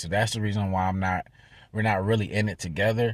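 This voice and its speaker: Here a man speaks at a fairly low pitch. The recording is very clean and the background silent. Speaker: vlogger. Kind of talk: vlog update. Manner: fast.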